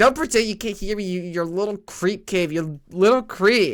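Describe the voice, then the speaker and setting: A fairly high put-on character voice moves at a moderate pace on a very clean recording with a silent background. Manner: slurring, belligerent.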